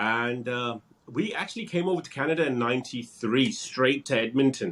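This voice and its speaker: With a British accent, a man speaks at a moderate pace with ordinary pitch variation. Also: medium pitch for a man. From England, Wolverhampton. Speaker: real estate broker, former police officer. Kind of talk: interview.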